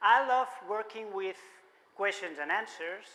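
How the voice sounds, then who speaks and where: A man speaks in a raised, projected voice at a fairly slow pace. His pitch is high with ordinary variation, and his tone is bright and sharp. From Spain, Barcelona. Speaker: musician and marketing speaker. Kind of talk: conference keynote talk. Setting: stage with audience. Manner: animated.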